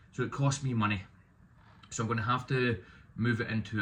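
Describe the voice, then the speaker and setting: With a Scottish accent, a man speaks in a bright, sharp tone. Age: 30s. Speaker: removals business owner. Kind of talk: vlog monologue. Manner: hesitant, with fillers.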